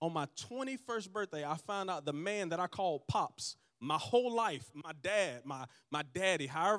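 Against a silent background in a very clean recording, a man talks in an animated tone with lively intonation. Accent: Southern US. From US South, Georgia. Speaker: pastor. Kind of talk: sermon. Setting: church with live audience. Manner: animated, call-and-response.

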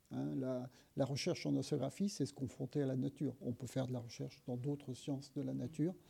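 Somewhat breathy, a man's medium-pitched voice has a dark, mellow tone. He speaks at a fairly quick pace with fairly even intonation. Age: 60s. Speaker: engineer and sustainability advocate. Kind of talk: interview. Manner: hesitant, many fillers.

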